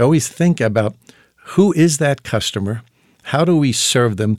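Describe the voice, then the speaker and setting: An ordinary speaking voice from a man, at a moderate pace with ordinary pitch variation, in a dry, close sound with no echo. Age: 60s. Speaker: entrepreneur and former pharmacist. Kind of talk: casual interview conversation.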